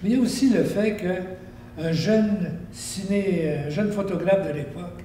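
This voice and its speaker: Noticeable background noise accompanies fairly slow speech. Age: 80s+. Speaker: local historian. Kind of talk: interview.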